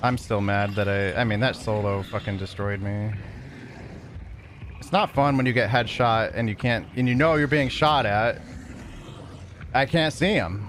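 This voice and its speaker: Speaking at a moderate pace, a man with a medium pitch leaves long, frequent pauses. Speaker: video game streamer. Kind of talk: live gameplay stream chat. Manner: monotone.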